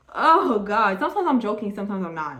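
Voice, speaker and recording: She speaks at a fairly quick pace. The voice belongs to a woman. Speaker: tarot card reader. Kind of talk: tarot reading monologue. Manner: stumbling over words.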